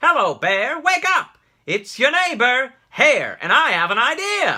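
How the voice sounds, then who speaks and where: Someone uses a put-on character voice, high in pitch, at a fairly slow pace. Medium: read story. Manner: eager, smooth-talking.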